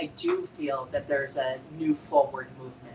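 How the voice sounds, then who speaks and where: A woman speaking at a fairly slow pace with ordinary pitch variation over noticeable background noise. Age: 50s. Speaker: spiritual group participant. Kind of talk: casual chat.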